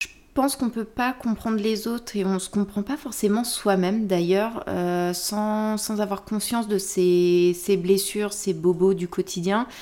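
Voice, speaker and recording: The voice has a dark, mellow tone. Its intonation is fairly even, and the pace is fairly slow. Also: woman, medium pitch for a woman. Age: 30s. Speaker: podcast guest sharing personal experience. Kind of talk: casual chat.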